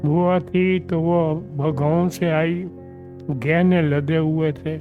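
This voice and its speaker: A man's fairly high-pitched voice with very wide pitch swings, set against music in the background. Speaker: partition witness. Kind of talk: interview answer.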